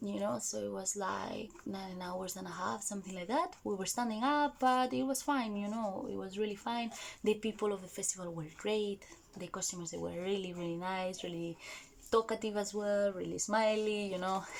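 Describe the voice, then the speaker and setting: A woman's medium-pitched voice with a Spanish accent, at a moderate pace with ordinary pitch variation. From Spain. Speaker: vlogger. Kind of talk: casual vlog talk. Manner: animated.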